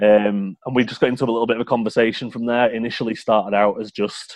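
Speaking very fast with a Yorkshire accent, a man holds a fairly low, flat-intoned monotone. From Yorkshire, England. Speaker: fantasy football scout, guest. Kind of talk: casual chat.

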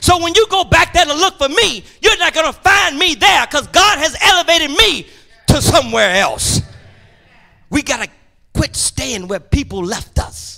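Raising and projecting his voice, a man talks at a moderate pace in an extremely high pitch, with very wide pitch swings and a bright, sharp, animated tone. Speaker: preacher. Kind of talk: sermon. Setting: church. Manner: loud.

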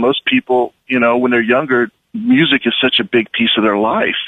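This man speaks in a normal speaking voice at medium pitch. He has an American accent. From US Midwest, southwest Kansas. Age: young. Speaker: film director and producer. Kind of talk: radio interview.

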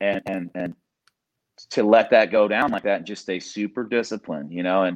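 The voice carries an American accent at a fairly quick pace. The sound is dry and close with no echo, over a quiet background. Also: man. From Indiana, US Midwest. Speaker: MMA coach. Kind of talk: casual interview. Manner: halting, many fillers and repeated words.

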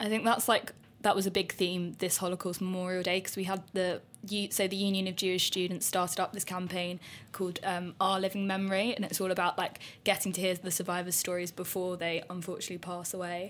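In a very clean recording with a silent background, a woman talks at a very fast pace and medium pitch with monotone, flat intonation. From Redbridge, Essex, England. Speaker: student society president. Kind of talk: casual interview.

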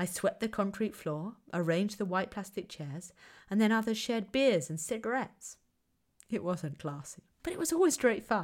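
In a southern English accent, a woman at medium pitch talks at a moderate pace with lively intonation, recorded very cleanly against a silent background. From southern England, Kent. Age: 30s. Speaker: podcast host, academic researcher. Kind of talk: lecture-style monologue.

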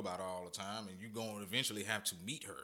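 Fairly low in pitch, this man's voice has a bright, sharp tone and fairly even intonation. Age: 20s. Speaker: podcast co-host. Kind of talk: casual chat.

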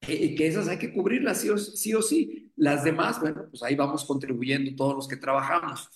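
A man speaks at a moderate pace with hardly any pauses, in a normal speaking voice. His pitch is fairly high and his intonation lively. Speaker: economist, academic director. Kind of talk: radio interview.

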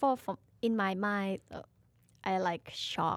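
Recorded very cleanly against a silent background, a woman with a Thai accent speaks at a medium pitch. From Thailand. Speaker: co-host, singer. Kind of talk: casual chat. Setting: studio.

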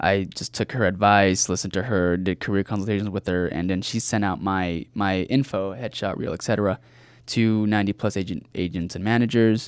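In a very clean recording with a silent background, a man with a Californian accent speaks at a fairly quick pace in a fairly low voice with fairly even intonation. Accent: Californian American English. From Southern California (Rancho Cucamonga). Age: 20s. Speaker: actor and filmmaker. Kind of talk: casual interview. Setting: studio.

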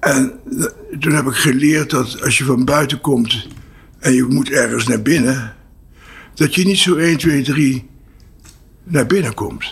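Pausing long and often, a man with a fairly high pitch speaks at a very slow pace. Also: ordinary pitch variation. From Netherlands, Apeldoorn and Venlo. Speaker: entrepreneur, training institute founder. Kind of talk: interview. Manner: halting.

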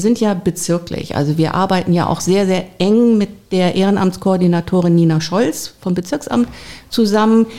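There's noticeable background noise as a woman talks at a moderate pace in a medium pitch. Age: 50s. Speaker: volunteer agency coordinator. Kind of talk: interview.

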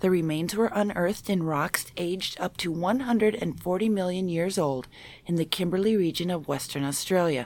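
A woman with an American accent speaks at a moderate pace in a medium pitch, with ordinary pitch variation and an unremarkable speaking voice. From Minnesota. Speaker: paranormal enthusiast panelist. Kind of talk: reading news stories aloud.

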